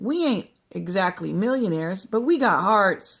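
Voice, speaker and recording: In a put-on character voice, a raspy, female-sounding speaker talks at a moderate pace and medium pitch. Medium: read story. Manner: blunt, colloquial.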